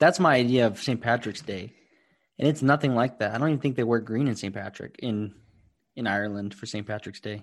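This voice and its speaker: In a plain, everyday voice with an American accent, the speaker moves at a fairly quick pace with ordinary pitch variation over a quiet background. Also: man, medium pitch for a man. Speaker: podcast co-host. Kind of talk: casual chat.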